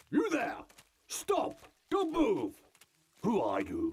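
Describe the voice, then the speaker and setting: A man uses a put-on character voice pitched extremely high. He speaks at a very slow pace. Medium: video game. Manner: stern, commanding.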